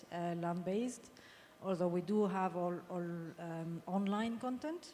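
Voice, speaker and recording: A dark, mellow tone with a non-native accent. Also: woman. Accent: foreign accent, noticeable. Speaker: sales director, panelist. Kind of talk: panel discussion.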